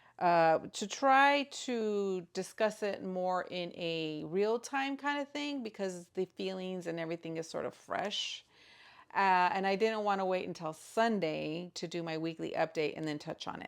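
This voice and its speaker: A woman talks at a fairly slow pace with a medium pitch and lively intonation in a very clean recording with a silent background. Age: 50s. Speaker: grandmother and stay-at-home mom. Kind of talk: casual talk to camera.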